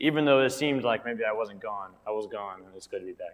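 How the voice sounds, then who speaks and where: Here is a man at a very fast pace. His pitch is medium. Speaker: Bible class teacher. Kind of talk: Bible class lesson. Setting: church classroom with mic. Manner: quiet.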